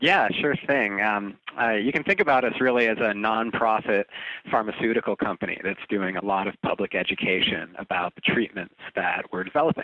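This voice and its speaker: This man has a normal speaking voice, fairly low in pitch, with ordinary pitch variation. He talks at a fairly quick pace. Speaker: drug research nonprofit spokesperson. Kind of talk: interview conversation.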